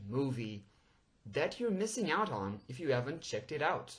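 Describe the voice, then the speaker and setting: A somewhat breathy man with a Portuguese accent. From Portugal. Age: 20s. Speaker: podcast host. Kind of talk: podcast monologue. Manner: animated.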